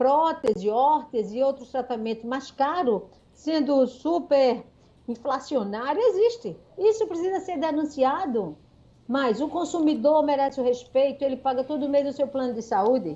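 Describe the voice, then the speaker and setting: A woman speaks in a high pitch with a dark, mellow tone. Her pitch swings very widely. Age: 60s. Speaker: consumer rights advocate, doctor and lawyer. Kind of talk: radio interview. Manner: animated.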